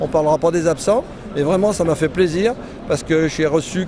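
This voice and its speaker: A man's high-pitched voice at a moderate pace, with ordinary pitch variation and noticeable background noise. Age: 60s. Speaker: motorcycle club president, former racer. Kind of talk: interview. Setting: trade show stand.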